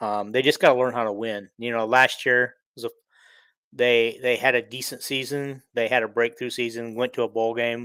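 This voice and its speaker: A man with a Midwestern US accent talks at a moderate pace and medium pitch on a very clean recording with a silent background. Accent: US Midwest. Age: 60s. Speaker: sports podcaster. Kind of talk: casual monologue. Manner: halting, many fillers.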